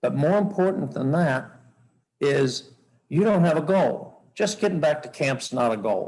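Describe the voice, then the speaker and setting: A man speaks at a very slow pace with lively intonation. His voice is somewhat breathy. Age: 70s. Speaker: sheep hunter. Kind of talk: seminar talk.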